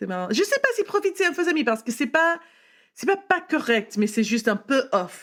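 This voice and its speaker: Very wide pitch swings mark a woman's voice at a moderate pace, on a very clean recording with a silent background. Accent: English. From California, US. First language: English (speaking French). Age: 30s. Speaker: wine entrepreneur. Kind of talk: casual interview chat. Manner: halting, hesitant French with English words.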